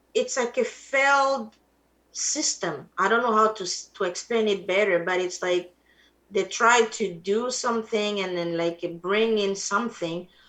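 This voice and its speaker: A woman with an Ivorian accent, medium-pitched, with ordinary pitch variation and a fairly slow pace. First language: Atie. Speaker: musician. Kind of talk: interview.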